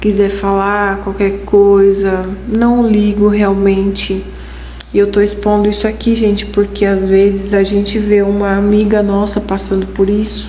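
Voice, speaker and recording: A soft-spoken woman at medium pitch, very slow and monotone with flat intonation, amid audible room echo and noticeable background noise. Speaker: vlogger. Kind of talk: casual vlog talk to camera. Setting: at home late at night. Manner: soft-spoken, talking quietly.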